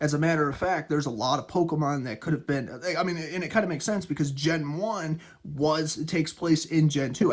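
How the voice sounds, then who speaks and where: A man talks at a fairly high pitch. His pitch variation is ordinary and his pace fairly quick. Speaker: gaming youtuber. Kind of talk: casual video commentary. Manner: fast; rambling with fillers and repetitions.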